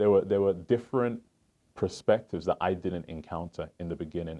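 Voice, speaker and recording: A man with a slight English accent, a very deep, low pitch, a dark, mellow tone, ordinary pitch variation and a fairly quick pace. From England, Southeast London. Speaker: financial advisor. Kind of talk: interview.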